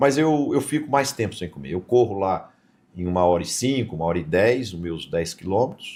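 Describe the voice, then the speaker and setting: A man with a fairly low pitch talks at a moderate pace with very wide pitch swings in a very clean recording with a silent background. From interior of São Paulo state, Brazil. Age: 70s. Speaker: businessman. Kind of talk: podcast interview.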